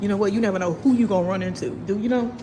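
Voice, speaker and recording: Delivered at a very fast pace in an animated tone with ordinary pitch variation, the speech carries audible room echo and noticeable background noise. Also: woman. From St. Louis, Missouri. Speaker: vlogger. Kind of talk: casual chat. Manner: loud.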